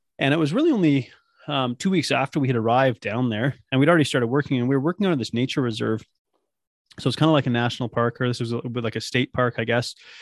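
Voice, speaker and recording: Very fast speech in a western Canadian accent, with ordinary pitch variation and a dry, close sound with no echo, on a very clean recording with a silent background. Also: man, medium pitch for a man. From British Columbia, Canada. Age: 30s. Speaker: online nutrition coach. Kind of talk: interview, personal story and advice.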